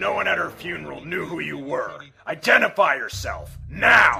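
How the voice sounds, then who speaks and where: A man performs a put-on character voice. The voice is raspy. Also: moderate pace. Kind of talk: radio drama. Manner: angry, threatening.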